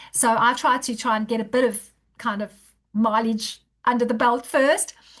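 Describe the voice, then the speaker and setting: The speaker is a woman. Her pitch is fairly high. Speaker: author, hypnotherapist and marathon runner. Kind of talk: podcast interview conversation. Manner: fast.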